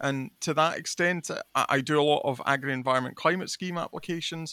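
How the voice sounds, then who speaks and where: A man with a west of Scotland accent, fairly high in pitch, with a bright, sharp tone and fairly even intonation, in a very clean recording with a silent background and a dry, close sound with no echo. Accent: west of Scotland Scottish. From Scotland, Kintyre. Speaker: agricultural consultant and podcast host. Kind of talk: interview monologue.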